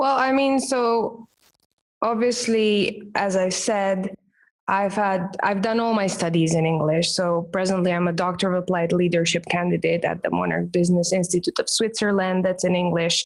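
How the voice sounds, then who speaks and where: The speaker has a Romanian accent and a moderate pace. Pitch varies in an ordinary way while loudness stays very even. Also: woman, medium pitch for a woman. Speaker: branding expert and professional speaker. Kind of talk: podcast interview.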